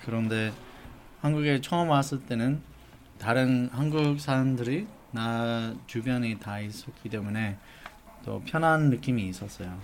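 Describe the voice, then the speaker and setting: Using a non-native accent, a man talks at a very slow pace in a medium-pitched voice, with long, frequent pauses. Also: ordinary pitch variation. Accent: non-native Korean, slightly halting. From US, Los Angeles. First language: English (speaking Korean). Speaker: adoptee advocacy organization head. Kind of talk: interview.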